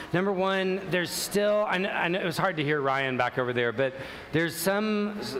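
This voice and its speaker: Lively intonation carries this moderate-paced speech over noticeable background noise. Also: man. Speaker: ministry teacher. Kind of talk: announcements to a live audience. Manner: loud; casual, hesitant with fillers.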